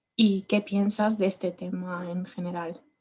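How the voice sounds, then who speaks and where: Speaking in an Italian accent, a woman sounds somewhat breathy, with monotone, flat intonation. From Italy. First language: Italian (speaking Spanish). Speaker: architect, audience member. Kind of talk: audience question. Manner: halting, hesitant.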